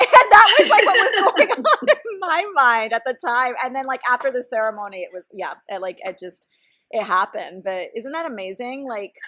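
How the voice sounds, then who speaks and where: In a raised, projected voice, a woman speaks at a high pitch and a moderate pace, with very wide pitch swings and big swings in loudness. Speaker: psychologist and podcast host. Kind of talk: casual chat.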